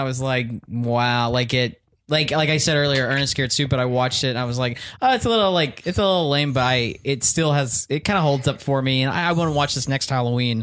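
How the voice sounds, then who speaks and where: With an American accent and a plain, everyday voice, a man speaks at a fairly quick pace, his pitch fairly high with ordinary variation and his loudness very even. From Texas. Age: 20s. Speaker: comedian. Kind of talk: casual chat.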